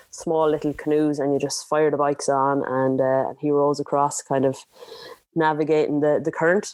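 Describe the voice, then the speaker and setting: In an Irish accent, a woman speaks with a very deep, low pitch. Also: moderate pace. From Ireland. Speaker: adventure racer. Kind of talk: podcast interview answer. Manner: energetic.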